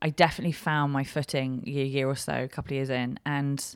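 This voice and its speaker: A flat monotone in an English accent at a moderate pace, on a very clean recording with a silent background. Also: woman. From West London, England. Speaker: comedian. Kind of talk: casual chat. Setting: live recording.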